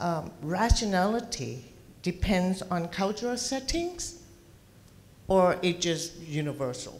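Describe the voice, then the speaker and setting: Very slowly and with lively intonation, a woman speaks with a Thai accent. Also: medium pitch for a woman. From Thailand. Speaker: audience member. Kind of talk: audience question. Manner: halting.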